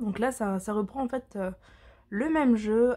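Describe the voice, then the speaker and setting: The voice is somewhat breathy with a dark, mellow tone. It moves at a fairly slow pace. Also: woman. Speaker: tarot and oracle card reader. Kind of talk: product presentation. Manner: hesitant, many fillers.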